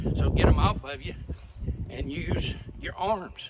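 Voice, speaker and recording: Background noise is noticeable throughout. The voice belongs to a man. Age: 70s. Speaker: amateur golfer sharing tips. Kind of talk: casual golf tutorial. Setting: outdoors. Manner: casual, folksy.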